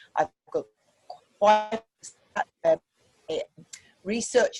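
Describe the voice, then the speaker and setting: The pace here is moderate. A woman talks in a British accent. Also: dry, close sound with no echo. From UK. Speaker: pediatrician. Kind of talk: presentation intro. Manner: hesitant with fillers.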